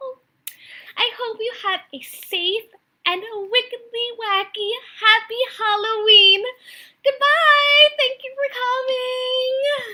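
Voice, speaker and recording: In a squeaky, put-on character voice, a woman speaks very slowly at an extremely high pitch. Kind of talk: children's theatre hosting. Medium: stage play. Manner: bright, sing-song, encouraging.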